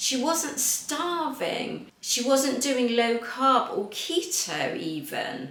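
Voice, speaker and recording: A woman's high voice comes through audible room echo and noticeable background noise. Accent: English. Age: 50s. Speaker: fitness coach. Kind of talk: tutorial.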